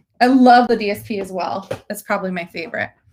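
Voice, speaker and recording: Ordinary pitch variation from a woman with a fairly high voice, at a moderate pace. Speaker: stamping and card-making demonstrator. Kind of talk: live-streamed crafting tutorial. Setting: Facebook live stream. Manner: animated. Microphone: quiet, hard to hear.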